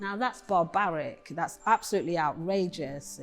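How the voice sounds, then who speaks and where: A woman with an East Midlands accent speaks at a fairly low pitch with ordinary pitch variation. Music plays in the background. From Nottingham, England. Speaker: poet. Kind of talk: interview.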